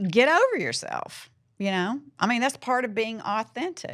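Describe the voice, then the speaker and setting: On a very clean recording with a silent background, a woman with a Southern US accent speaks at a fairly high pitch and a fairly slow pace, making very wide pitch swings. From US South. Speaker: podcast host, divorce coach. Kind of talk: casual chat. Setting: studio.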